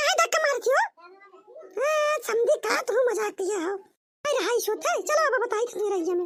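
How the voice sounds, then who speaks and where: In a squeaky, cartoonish character voice, a woman speaks at a moderate pace with an extremely high pitch and lively intonation. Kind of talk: rustic comic cartoon sketch. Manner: loud, argumentative.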